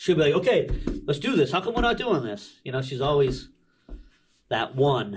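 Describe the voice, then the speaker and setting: Over noticeable background noise, a man with an American accent speaks at a fairly high pitch and a moderate pace, somewhat breathy, with very wide pitch swings and long, frequent pauses. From United States. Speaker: business owner; podcast guest. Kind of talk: casual chat. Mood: animated, friendly. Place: studio. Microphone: studio mic.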